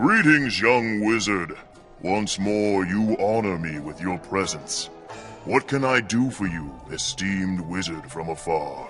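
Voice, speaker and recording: Over clear background music, a man does a put-on character voice, fairly low-pitched and fairly slow. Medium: machinima. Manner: formal, stately.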